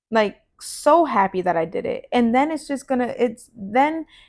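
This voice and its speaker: A woman is speaking. Her pace is moderate. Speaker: podcast host. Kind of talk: casual monologue. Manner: loud; casual, filler-heavy.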